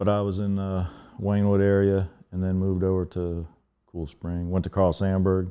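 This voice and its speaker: This man has a very deep, low voice and an American accent. His intonation stays monotone and flat. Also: moderate pace. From Northern Virginia, Alexandria. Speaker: hip hop DJ, podcast guest. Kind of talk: casual interview chat.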